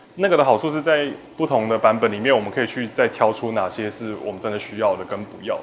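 Amid noticeable background noise, a man talks at a very fast pace with ordinary pitch variation and big swings in loudness. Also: medium pitch for a man. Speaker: film director. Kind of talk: interview.

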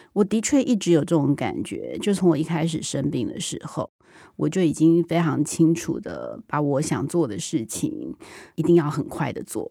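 A very clean, silent-background recording of a woman talking at a moderate pace. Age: 40s. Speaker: TV drama director. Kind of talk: interview.

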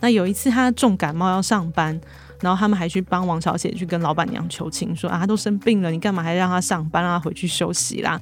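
Talking at a very fast pace, the woman has a rather low pitch. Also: ordinary pitch variation. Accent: Taiwanese. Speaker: magazine reporter hosting podcast. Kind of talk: podcast narration.

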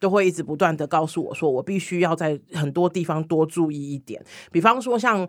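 With an ordinary speaking voice, a woman talks at a moderate pace and with lively intonation. The recording is very clean, with a silent background. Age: 40s. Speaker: LGBT hotline community director and body-positivity activist. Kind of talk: casual chat.

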